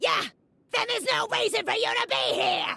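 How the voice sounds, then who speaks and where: An extremely high-pitched, put-on character voice shouts. The pace is moderate. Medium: video game. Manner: shouting, hot-tempered.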